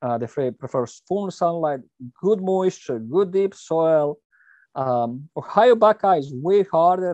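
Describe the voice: A man talks at a fairly slow pace and fairly high pitch, his intonation lively, in a dry, close sound with no echo.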